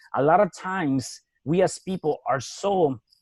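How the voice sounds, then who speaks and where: A man with a Spanish accent and ordinary pitch variation, in a dry, close sound with no echo. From Mexico City. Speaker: real estate entrepreneur and author. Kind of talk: podcast interview.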